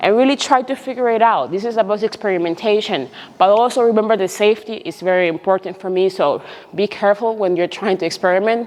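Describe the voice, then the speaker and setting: A woman with a non-native accent speaks at a very fast pace and medium pitch. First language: not English. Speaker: personal trainer. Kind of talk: tutorial. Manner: halting.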